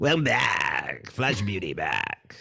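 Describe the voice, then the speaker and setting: A man performs a put-on character voice. His sound is raspy. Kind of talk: radio announcer.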